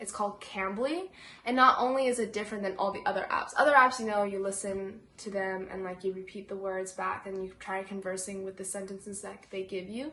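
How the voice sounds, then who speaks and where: Speaking at a fairly quick pace with hardly any pauses, a woman has an American accent. Her medium pitch holds fairly even intonation. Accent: American English, fluent Mandarin. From China, then US from age five. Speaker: bilingual video host. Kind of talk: casual chat. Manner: casual, filler-heavy.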